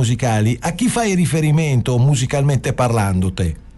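A man's dark, mellow tone comes with some breathiness as he talks at a moderate speed, his intonation lively. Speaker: radio host. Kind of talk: radio interview. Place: studio.

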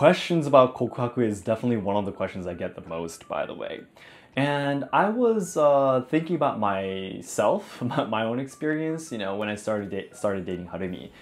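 A man with a Japanese accent at a fairly quick pace, his pitch swinging very widely. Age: 20s. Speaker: YouTuber explaining Japanese culture. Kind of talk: scripted explainer narration; casual chat. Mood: friendly, animated, smiling. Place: home room. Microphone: lapel.

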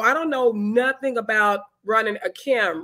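A fairly high, bright, sharp female voice, animated, with ordinary pitch variation. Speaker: online talk show host, film organization founder. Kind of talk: live-streamed interview. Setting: video call livestream.

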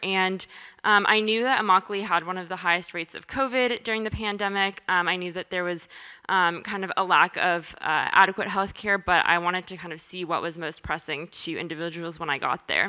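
Her tone is bright and sharp as a woman speaks at a fairly quick pace. The intonation stays fairly even, and the background is quiet. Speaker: presenter. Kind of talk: presentation talk. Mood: calm, many filler ums. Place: meeting room. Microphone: handheld.

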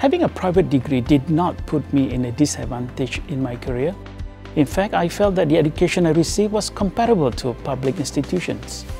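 The man's delivery moves at a fairly quick pace. Behind him, music is faintly audible. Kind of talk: interview answer. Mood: grateful, proud. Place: hall.

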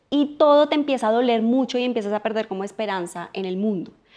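A woman at a very fast pace against a quiet background. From Colombia. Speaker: political scientist and life coach; podcast guest, coach. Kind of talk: casual interview conversation. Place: home room.

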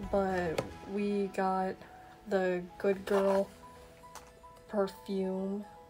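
Over clear music in the background, a woman speaks with monotone, flat intonation. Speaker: vlogger. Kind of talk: casual vlog chat. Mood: cheerful, relaxed. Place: home room. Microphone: phone near.

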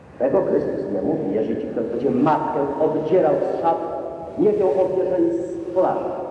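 A solemn tone with lively intonation at a moderate pace, under strong room echo and light background noise. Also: man, high pitch for a man. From Poland. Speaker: parish priest. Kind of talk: sermon. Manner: solemn, impassioned preaching. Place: church.

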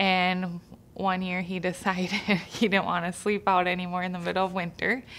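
A woman speaks at a moderate pace with monotone, flat intonation. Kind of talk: interview answer. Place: studio.

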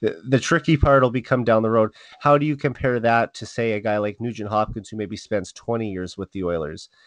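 A man with a Canadian accent has a plain, everyday voice at medium pitch, with ordinary pitch variation and a fairly quick pace. The background is quiet, and the sound is dry and close with no echo. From Saskatchewan, Canada (Saskatoon). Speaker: hockey podcast host. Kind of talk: casual chat.

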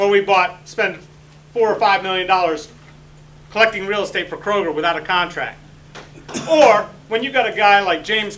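A man speaks in a raised, projected voice at a high pitch and a fairly quick pace. Noticeable background noise is present. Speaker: city commission candidate, army veteran. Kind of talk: candidate forum speech. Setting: public forum with audience. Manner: loud, projecting command voice; forceful, emphatic.

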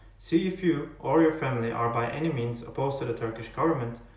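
A man at a very fast pace with ordinary pitch variation, in audible room echo. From Turkey. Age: 20s. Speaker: college student. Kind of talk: personal testimony to camera. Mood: earnest, serious. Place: home room. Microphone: earbuds.

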